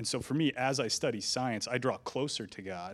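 A man with an American accent has an unremarkable speaking voice. He speaks at a moderate pace with ordinary pitch variation. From Nevada (Reno), US. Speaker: physicist. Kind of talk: panel discussion.

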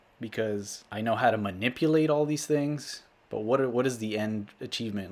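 In a very clean recording with a silent background, a man with a normal speaking voice talks at a fairly quick pace with ordinary pitch variation. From South Texas, US-Mexico border (Rio Grande City). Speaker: cinematographer. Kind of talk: casual interview chat.

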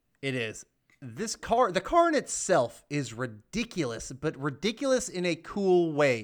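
Recorded very cleanly against a silent background, a man with a high pitch talks at a fairly slow pace, his voice making very wide pitch swings. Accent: American. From US South, Georgia. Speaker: podcast co-host. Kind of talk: casual chat.

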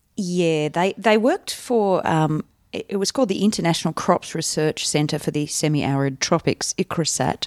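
In an Australian accent, a woman speaks at a moderate pace with hardly any pauses, using a fairly low pitch and ordinary pitch variation, in a dry, close sound with no echo. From Canberra, Australia (early childhood in India). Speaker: stand-up comedian. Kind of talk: casual interview chat.

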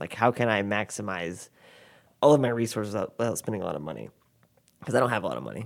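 A man talks at a very fast pace with a fairly low pitch and vocal fry. The recording is very clean, with a silent background. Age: 20s. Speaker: filmmaker. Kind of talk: casual chat.

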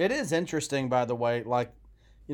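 A man talks at a medium pitch with ordinary pitch variation. It is a normal speaking voice. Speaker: podcast co-host and preacher. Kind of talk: casual conversational Bible discussion.

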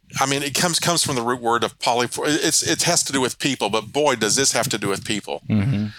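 A man at a very fast pace with hardly any pauses, medium pitch and ordinary pitch variation, against noticeable background noise. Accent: Ozark. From Arkansas Ozarks. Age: 50s. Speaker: local political candidate. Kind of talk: interview. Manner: halting, frequent repetitions.

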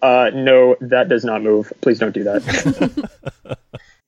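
A man's booming, put-on character voice at medium pitch, delivered at a very slow pace. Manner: authoritative, booming.

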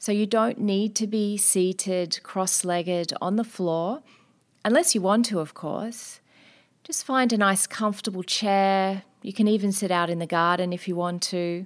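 Speaking at a fairly slow pace in a normal speaking voice, a woman uses a medium pitch with ordinary pitch variation in a very clean recording with a silent background. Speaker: wellness podcast host and meditation instructor. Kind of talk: guided meditation. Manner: slow, calm, soothing; gentle, unhurried, with long pauses.

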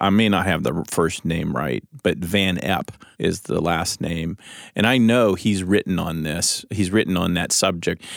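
A man with a very deep, low voice and vocal fry speaks at a fairly slow pace. His pitch varies in an ordinary way, and the recording is very clean with a silent background. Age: 50s. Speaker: lead pastor. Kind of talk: casual chat.

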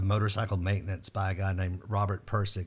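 Somewhat breathy, this voice has an American accent on a very clean recording with a silent background. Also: man. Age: 50s. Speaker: podcast host, former band director and music teacher. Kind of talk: casual interview conversation.

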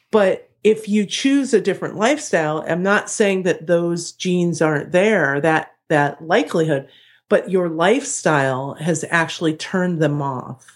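A woman with an American accent speaks fairly slowly in an unremarkable speaking voice, fairly low in pitch, with lively intonation. The recording is very clean with a silent background. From Ohio. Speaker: chiropractor. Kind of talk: podcast interview.

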